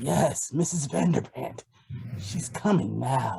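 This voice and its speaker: Using a raspy put-on character voice, a man speaks at a medium pitch. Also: fairly slow pace. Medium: audio drama. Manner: echoing others.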